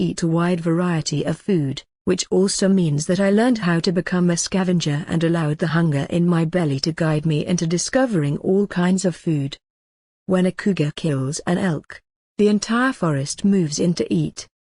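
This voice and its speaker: In a dry, close recording with no echo and a quiet background, a woman speaks at a moderate pace in a fairly low, dark, mellow, somewhat breathy voice, with ordinary pitch variation and very even loudness. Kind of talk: documentary-style narration reading an article.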